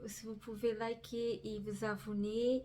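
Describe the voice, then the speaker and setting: Her dark, mellow tone comes through as the woman speaks at a very slow pace. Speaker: crafting youtuber. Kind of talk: casual vlog talk. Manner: halting, many fillers.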